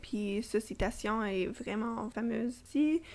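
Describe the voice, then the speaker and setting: Delivery comes at a very slow pace. The pitch varies in an ordinary way. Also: woman. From Toronto, Canada. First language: English (speaking French). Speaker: podcast co-host. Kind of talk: casual book discussion. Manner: halting, many fillers.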